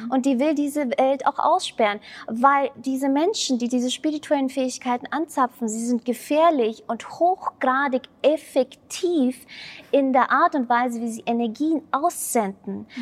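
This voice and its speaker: Dry and close with no echo, this woman's high voice moves at a fairly slow pace with ordinary pitch variation. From Germany. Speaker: spiritual coach and mentor. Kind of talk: podcast interview.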